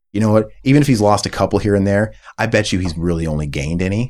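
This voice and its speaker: At a very fast pace, a man with an American accent and fairly low pitch speaks in a very clean recording with a silent background. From US Midwest. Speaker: podcast host. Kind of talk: casual chat. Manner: animated.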